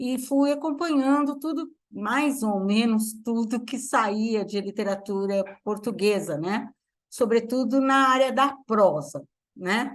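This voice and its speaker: Against a quiet background, a woman with a fairly high pitch speaks at a very slow pace with lively intonation. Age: 70s. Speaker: literature professor. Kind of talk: lecture. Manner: halting.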